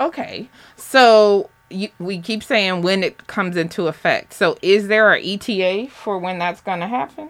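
Speaking at a fairly slow pace with hardly any pauses, a woman uses a plain, everyday voice with ordinary pitch variation. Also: medium pitch for a woman. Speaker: radio host. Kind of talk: radio interview. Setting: studio.

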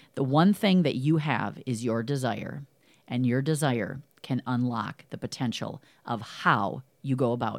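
Enthusiastic in tone, a woman with a very deep, low pitch speaks with lively intonation in a very clean recording with a silent background. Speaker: podcast host and business coach. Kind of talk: scripted monologue; interview.

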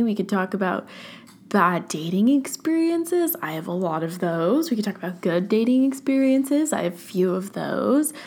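A woman speaks in a Californian accent. Her pace is fairly slow. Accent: Californian American. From US, Orange County, California. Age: young (about to turn 20). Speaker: podcast host. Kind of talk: casual solo monologue. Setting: at home, at her desk. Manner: filler-heavy, casual (um, like).

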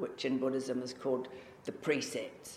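Speaking at a moderate pace, a woman with a New Zealand accent has a very deep, low pitch. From New Zealand (Auckland). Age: 60s. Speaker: Zen practitioner and writer. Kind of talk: dharma talk. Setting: meditation hall with audience. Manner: informal, chatty.

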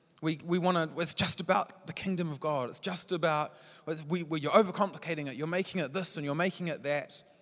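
The delivery is very fast, in a New Zealand accent. The intonation stays fairly even. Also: man, high pitch for a man. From New Zealand, Palmerston North. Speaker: church leader, guest preacher. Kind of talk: sermon.

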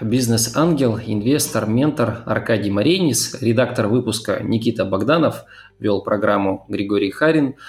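A man with an unremarkable speaking voice, medium pitch, ordinary pitch variation, very even loudness and a fairly slow pace. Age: 20s. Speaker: podcast host. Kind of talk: interview; scripted narration.

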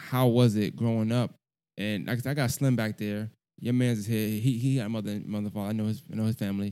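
In a very clean recording with a silent background, a man races at a very fast pace, his dark, mellow tone set at a fairly low pitch with monotone, flat intonation. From Brooklyn, New York and Augusta, Georgia. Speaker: podcast host. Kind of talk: casual interview. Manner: relaxed, conversational.

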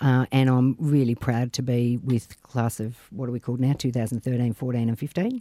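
With an Australian accent, a man talks in a dark, mellow tone and fairly even intonation. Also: medium pitch for a man, moderate pace. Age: 50s. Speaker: politician. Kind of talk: casual chat.

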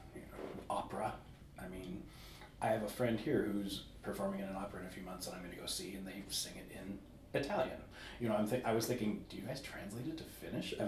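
In a Californian accent, a man talks very fast at a fairly low pitch with ordinary pitch variation and big swings in loudness. Noticeable background noise and audible room echo fill the recording. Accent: American, Californian. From California, US. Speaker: musician. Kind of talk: interview.

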